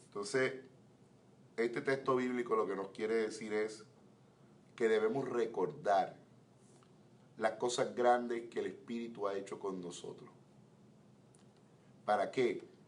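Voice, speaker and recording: With long, frequent pauses, a man talks at a fairly slow pace in a medium pitch and fairly even intonation, and audible room echo surrounds his voice. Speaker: pastor. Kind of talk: Bible teaching class. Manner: slow, measured.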